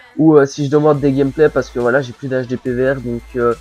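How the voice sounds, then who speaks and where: In a strong Belgian accent, a man talks at a fairly quick pace with fairly even intonation amid noticeable background noise. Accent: Belgian French, says it is strong. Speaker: gaming commentator. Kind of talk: gameplay commentary, casual advice monologue. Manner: casual, hesitant with many fillers.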